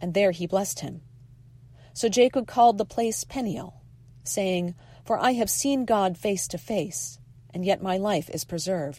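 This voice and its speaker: On a very clean recording with a silent background, a woman talks at a medium pitch and fairly slow pace, her tone dark, mellow and somewhat breathy. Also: lively intonation. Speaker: lay scripture reader. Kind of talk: reading aloud.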